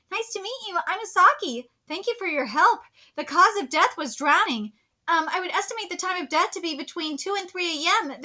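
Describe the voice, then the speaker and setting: Putting on a squeaky character voice, a woman reaches an extremely high pitch with very wide pitch swings. She moves at a fairly quick pace, and her loudness swings widely. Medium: read story. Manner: polite, measured.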